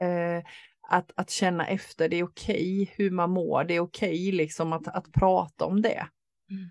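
Delivered at a moderate pace in a flat monotone, the speech has a dry, close sound with no echo. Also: woman, fairly low pitch for a woman. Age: 50s. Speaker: podcast co-host. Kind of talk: casual chat. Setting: sitting on the floor in a cottage.

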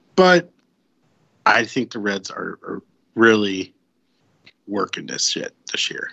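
In an American accent, a man speaks at a very slow pace with long, frequent pauses. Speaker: sports podcast panelist. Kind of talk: casual chat. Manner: jokey, laughs a lot.

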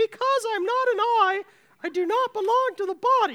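Using a put-on character voice, a woman speaks at an extremely high, squeaky pitch with ordinary pitch variation. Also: moderate pace.

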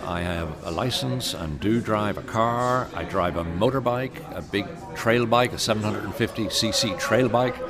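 With an Irish accent, a man speaks at a medium pitch and a fairly slow pace. His intonation is lively, and noticeable background noise can be heard. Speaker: cycling advocate. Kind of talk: interview.

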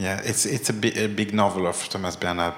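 A man with a French accent and a fairly low pitch talks over noticeable background noise. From France. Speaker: theater director.

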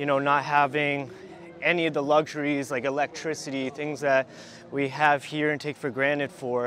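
A man with an American accent and a fairly high pitch. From US, Rhode Island (southern New England). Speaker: soldier, war veteran. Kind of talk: interview. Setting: outdoors. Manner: halting, many fillers.

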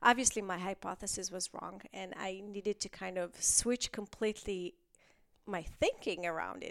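Vocal fry with an Israeli accent, moderate pace and fairly even intonation. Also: woman, medium pitch for a woman. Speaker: stem cell researcher and professor. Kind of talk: interview conversation. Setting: office in person.

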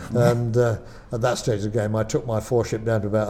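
This man's dark, mellow, somewhat breathy voice moves at a fairly quick pace in a flat monotone. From Lancashire, northern England. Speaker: air display pilot. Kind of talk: interview.

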